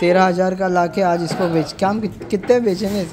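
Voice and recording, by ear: Over faint background noise, a man talks at a high pitch and a fairly quick pace, with a slightly mellow tone and fairly even intonation.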